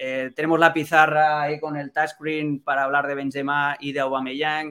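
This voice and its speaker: Delivering his words at a moderate pace, a man with a fairly high voice and a bright, sharp tone speaks in a monotone, flat intonation. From Catalonia, Spain. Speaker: football journalist. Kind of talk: casual chat.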